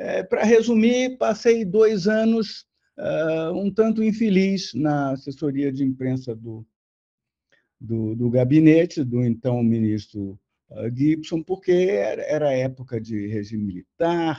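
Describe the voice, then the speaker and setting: The voice has a dark, mellow tone and very wide pitch swings. It moves at a very slow pace over a quiet background. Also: man, fairly high pitch for a man. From Brazil, Rio de Janeiro. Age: 70s. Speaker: retired diplomat. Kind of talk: interview. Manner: halting, many repeated words.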